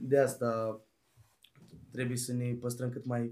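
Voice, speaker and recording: Speaking at a very slow pace, this man has a medium pitch and a dark, mellow tone. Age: 20s. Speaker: rapper. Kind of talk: casual interview. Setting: basement studio.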